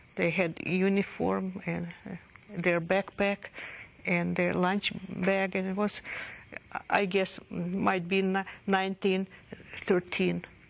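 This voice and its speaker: The voice is monotone and flat, moving at a very slow pace with long, frequent pauses. Noticeable background noise runs underneath. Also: woman, medium pitch for a woman. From Odessa, Ukraine (USSR). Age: 50s. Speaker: Holocaust survivor. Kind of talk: testimony. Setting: recorded interview. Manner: halting, with stammers and restarts.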